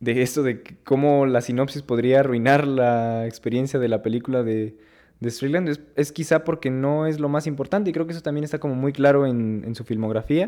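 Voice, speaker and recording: A man speaks at a moderate pace in a fairly high pitch, with a dark, mellow tone and fairly even intonation. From Mexico. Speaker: film podcast co-host. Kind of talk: casual film discussion. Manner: halting, many repetitions.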